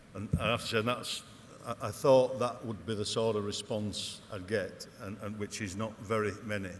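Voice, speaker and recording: A man speaks with fairly low pitch and fairly even intonation at a moderate pace, with audible room echo around him. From northern England, Wigan. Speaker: company managing director, conference speaker. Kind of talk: conference keynote speech. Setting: stage with audience. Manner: hesitant, many fillers.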